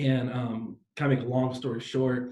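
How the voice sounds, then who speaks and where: A man speaks in an American accent at a medium pitch, his voice somewhat breathy. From San Diego, California. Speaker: pastor. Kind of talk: interview. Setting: live stream. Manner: animated.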